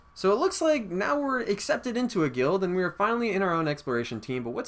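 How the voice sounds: Reading aloud in a natural voice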